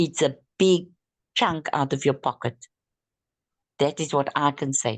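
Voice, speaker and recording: A woman with a very deep, low pitch speaks at a fairly slow pace. She leaves long, frequent pauses. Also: ordinary pitch variation. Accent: non-native. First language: not English. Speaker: network marketing distributor. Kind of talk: group training discussion. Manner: halting.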